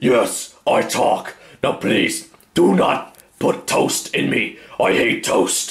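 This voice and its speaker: A man is doing a put-on character voice. He speaks at a very slow pace. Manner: silly.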